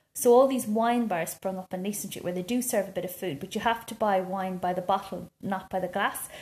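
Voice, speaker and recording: A woman with an Irish accent talks at a fairly quick pace with hardly any pauses, her medium-pitched voice somewhat breathy, with ordinary pitch variation. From rural Ireland. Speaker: podcast co-host. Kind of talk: casual chat.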